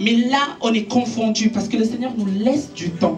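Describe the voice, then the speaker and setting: A woman with a high voice speaks at a fairly slow pace. There is audible room echo and music in the background. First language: Italian (speaking French). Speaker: preacher. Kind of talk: sermon.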